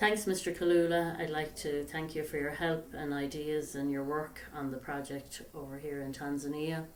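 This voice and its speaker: A woman speaks at a very deep, low pitch and moderate pace with fairly even intonation and hardly any pauses, with audible room echo and noticeable background noise. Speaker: charity founder. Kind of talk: recorded appeal to camera. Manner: soft-spoken. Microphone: far from the mic.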